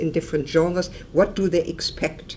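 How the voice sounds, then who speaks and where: A woman talks at a moderate pace with a fairly low pitch. It is an ordinary speaking voice. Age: 60s. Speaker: professor. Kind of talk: lecture.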